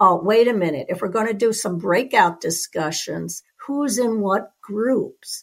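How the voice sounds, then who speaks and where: In an American accent, a woman speaks at a fairly slow pace with a somewhat breathy, fairly high voice. Her pitch varies normally. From US East Coast. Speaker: podcast co-host. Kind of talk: interview.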